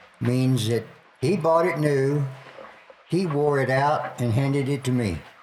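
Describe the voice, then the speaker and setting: Against noticeable background noise, a man with a fairly high pitch talks fairly slowly, with very even loudness and ordinary pitch variation. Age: 70s. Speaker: retired Air Force veteran grandfather. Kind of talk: casual family interview. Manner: halting.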